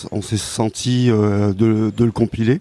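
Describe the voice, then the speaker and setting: Against noticeable background noise, a man speaks at a fairly slow pace with a medium pitch and monotone, flat intonation, the sound dry and close with no echo. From rural Cantal, France. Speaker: comics author and illustrator. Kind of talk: interview. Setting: comics festival. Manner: hesitant, many repetitions.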